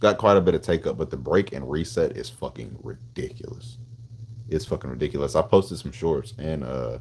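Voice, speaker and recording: This voice carries an American accent and vocal fry. Its pitch swings very widely and its loudness rises and falls in big swings. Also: man, very deep, low pitch for a man, fairly quick pace. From Tennessee, Nashville. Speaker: gun streamer. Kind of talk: live stream chat. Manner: casual, slangy.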